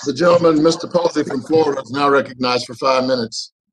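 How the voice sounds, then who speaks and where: A man talks at a fairly quick pace with fairly even intonation over noticeable background noise. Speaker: congressman chairing the hearing. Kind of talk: formal committee hearing proceedings. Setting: video call. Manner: formal. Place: office. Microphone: video call.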